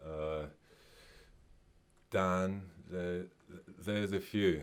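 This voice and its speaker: In a Mauritian accent, a man speaks very slowly at a very deep, low pitch with fairly even intonation. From Mauritius. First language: Mauritian Creole. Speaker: singer-songwriter. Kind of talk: radio interview. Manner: halting.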